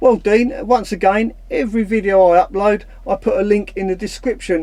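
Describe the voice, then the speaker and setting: In a Cockney accent, a man speaks with a high pitch, a dark, mellow tone and ordinary pitch variation. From London (Cockney). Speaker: van life YouTuber. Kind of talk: casual Q&A vlog.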